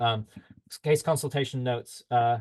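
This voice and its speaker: A somewhat breathy man's voice at medium pitch, with fairly even intonation, against a quiet background. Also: dry, close sound with no echo. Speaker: health tech company representative. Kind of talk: webinar presentation. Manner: fast.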